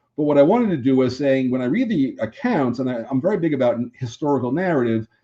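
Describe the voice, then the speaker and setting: Here a man with a fairly high pitch and a dark, mellow tone talks at a fairly quick pace with lively intonation. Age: 70s. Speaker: game designer. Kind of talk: game demo presentation. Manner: casual, halting with self-corrections.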